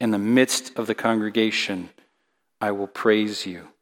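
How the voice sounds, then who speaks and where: Monotone, flat intonation marks this man's fairly low voice. He goes at a fairly slow pace on a very clean recording with a silent background. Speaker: elder and preacher. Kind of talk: sermon with scripture reading aloud; solemn psalm reading in a church. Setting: church. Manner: earnest, reverent, lamenting then rising to praise.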